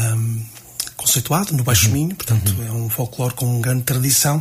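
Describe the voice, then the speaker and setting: A man at medium pitch amid noticeable background noise. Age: 40s. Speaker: music teacher and association president. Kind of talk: radio interview. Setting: radio studio. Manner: halting.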